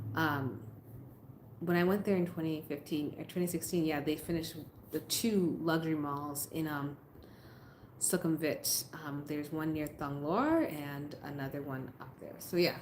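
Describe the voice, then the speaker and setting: A woman with an American accent speaks at a moderate pace in a very deep, low voice, her intonation fairly even, with audible room echo. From US Northeast, Massachusetts. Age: 30s. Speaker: YouTuber, expat vlogger. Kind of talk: live stream chat. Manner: casual, conversational.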